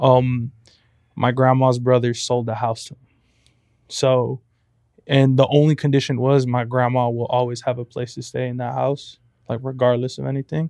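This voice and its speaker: A man at medium pitch talks at a moderate pace in a flat, monotone delivery with a dark, mellow tone, big swings in loudness, and long, frequent pauses. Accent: American. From Compton, California. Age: 20s. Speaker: photographer and college student. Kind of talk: casual interview chat.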